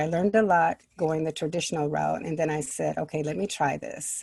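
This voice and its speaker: Speaking fairly quickly with an American accent, a woman with a very deep, low pitch has a dark, mellow tone and vocal fry. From US Midwest, Minneapolis. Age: 60s. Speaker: children's book author. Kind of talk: interview.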